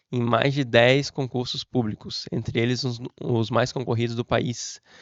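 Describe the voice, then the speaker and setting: A man speaks at a medium pitch with fairly even intonation, in an ordinary speaking voice. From southern Brazil, Florianópolis, Santa Catarina. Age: 30s. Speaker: civil servant and exam prep teacher. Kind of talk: motivational talk to camera.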